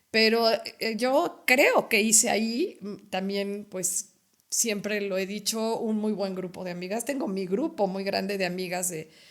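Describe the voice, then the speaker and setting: Her medium pitch showing ordinary variation, a woman speaks at a fairly slow pace. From Mexico, Puebla. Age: 60s. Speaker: retired educator. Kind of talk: interview conversation. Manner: halting.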